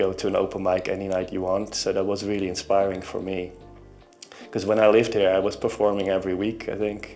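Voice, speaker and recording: A man with a Dutch accent talks at a fairly quick pace with a fairly low pitch. Music plays in the background. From Netherlands. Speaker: singer-songwriter. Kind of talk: interview. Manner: halting.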